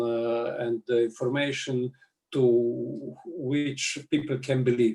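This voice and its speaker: Very slowly and with fairly even intonation, a man speaks at a medium pitch with a Slovenian accent. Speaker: politician. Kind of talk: interview. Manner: halting.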